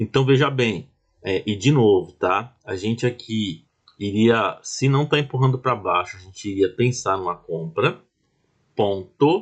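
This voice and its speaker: Somewhat breathy, a man speaks at a fairly slow pace and medium pitch with lively intonation. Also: quiet background. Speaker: trading instructor. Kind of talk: tutorial. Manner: slow, deliberate.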